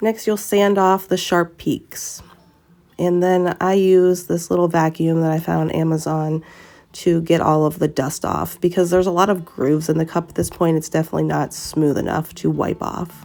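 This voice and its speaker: With a dark, mellow tone and a fairly low pitch, a woman speaks at a moderate pace in monotone, flat intonation. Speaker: tumbler crafter. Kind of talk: tutorial voice-over. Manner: casual, with many filler sounds.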